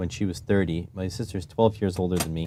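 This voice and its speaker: A man speaks with a dark, mellow tone. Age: 30s. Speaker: electronics maker streamer. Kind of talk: live stream tinkering commentary. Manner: halting, thinking aloud.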